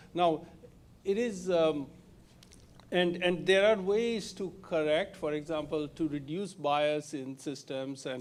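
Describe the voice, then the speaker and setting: Speaking with a Bengali accent, a man shows ordinary pitch variation. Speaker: industry researcher, keynote speaker. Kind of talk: Q&A answer after talk. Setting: live-streamed event with audience. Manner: halting, many fillers.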